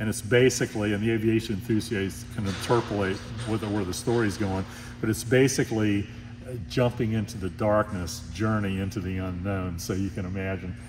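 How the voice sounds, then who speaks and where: Fairly quick delivery with fairly even intonation over noticeable background noise. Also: man, fairly low pitch for a man. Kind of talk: interview answer. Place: hall.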